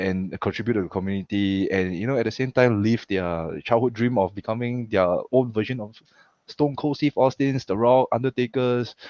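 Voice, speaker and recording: A man with a Singaporean accent talks at a moderate pace and a medium pitch with ordinary pitch variation, in a dry, close sound with no echo. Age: 30s. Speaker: pro wrestler and coach. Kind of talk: casual interview chat. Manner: halting, frequent repetitions.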